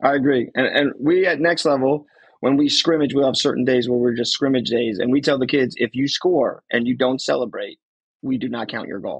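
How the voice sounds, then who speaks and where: Speaking at a fairly quick pace, a man with an American accent has a fairly high pitch and ordinary pitch variation. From New Jersey. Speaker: soccer podcast co-host and youth coach. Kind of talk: casual chat.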